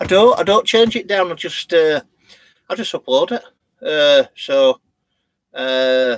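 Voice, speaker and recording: In a Yorkshire accent, a man speaks fairly slowly and high in pitch with lively intonation and long, frequent pauses, the sound dry and close with no echo. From Yorkshire, England (born in Leeds). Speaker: vlogger. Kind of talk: live stream chat. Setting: in a campervan. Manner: halting, many fillers.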